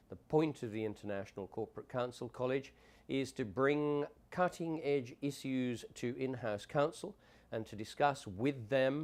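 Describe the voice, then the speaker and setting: The speaker has an English accent and a fairly slow pace. The recording is very clean, with a silent background. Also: man. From England. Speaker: conference director. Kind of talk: promotional talk.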